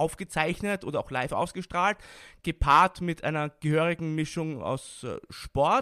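A man with an Austrian accent, fairly high pitch and ordinary pitch variation, in a bright, sharp tone at a fairly slow pace, dry and close with no echo, very clean recording, silent background. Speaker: wrestling expert and commentator. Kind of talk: interview.

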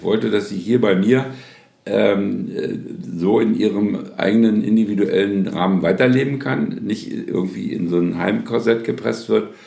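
Speaking fairly slowly, a man's voice carries audible room echo. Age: 70s. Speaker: family caregiver, recently widowed. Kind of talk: interview testimony.

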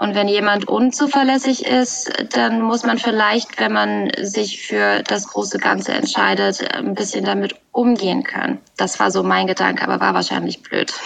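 There is noticeable background noise as the speaker goes at a moderate pace with very even loudness and hardly any pauses. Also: woman. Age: 20s. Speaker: podcast guest sharing personal problems. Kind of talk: personal conversation about heartbreak. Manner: halting, many filler words.

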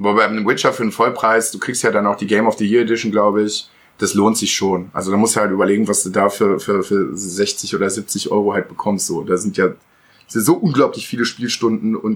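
His fairly low voice moves at a fairly quick pace with fairly even intonation. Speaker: podcast co-host. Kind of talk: casual chat. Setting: sharing one mic with others at home.

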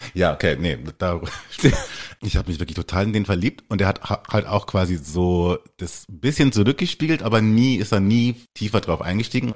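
Against a very clean recording with a silent background, a man with a fairly low pitch speaks at a moderate pace with lively intonation. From Germany. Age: 40s. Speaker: podcast guest. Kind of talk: casual chat.

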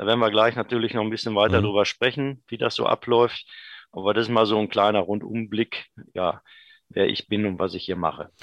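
A man with a normal speaking voice talks at a fairly quick pace, pitched fairly low, with fairly even intonation and a dry, close sound with no echo. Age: 50s. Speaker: vocational school department head. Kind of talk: interview.

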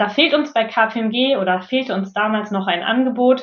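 A woman of medium pitch with a plain, everyday voice. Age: 30s. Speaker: management consultant and coach. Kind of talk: interview.

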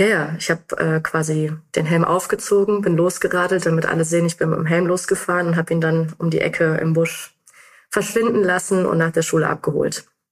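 A woman's plain, everyday voice, fairly low in pitch, with fairly even intonation and a fairly quick pace. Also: very even loudness. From Germany, North Rhine-Westphalia. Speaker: mobility researcher. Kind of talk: interview.

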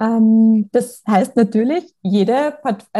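With a dark, mellow tone, a woman speaks in a somewhat breathy voice with ordinary pitch variation. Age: young. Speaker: podcast host and kindergarten teacher. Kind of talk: interview.

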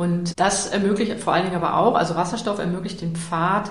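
A woman speaks at a medium pitch with audible room echo. There is noticeable background noise. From Lower Saxony, Germany (Salzgitter area). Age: 40s. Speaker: energy expert. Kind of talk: interview.

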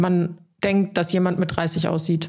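A woman with an unremarkable speaking voice talks at a fairly slow pace and a fairly low pitch. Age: 30s. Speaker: podcast co-host. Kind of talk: casual chat.

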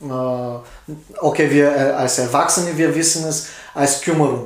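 There is audible room echo around a man speaking with a Bulgarian accent. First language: Bulgarian (speaking German). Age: 40s. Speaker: tattoo artist. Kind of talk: casual interview. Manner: halting.

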